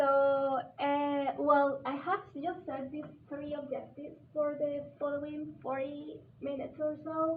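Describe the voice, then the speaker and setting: A woman with a Spanish accent talks at a fairly slow pace in a high voice. Her intonation is flat and monotone, and the room echoes audibly. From Colombia. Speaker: visiting scholar, teacher trainer. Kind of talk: workshop presentation. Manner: halting.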